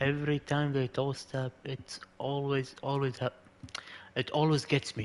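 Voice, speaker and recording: A man with an Arabic accent speaks at a fairly slow pace. His fairly high voice stays monotone and flat. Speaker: video game streamer. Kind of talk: live gameplay commentary.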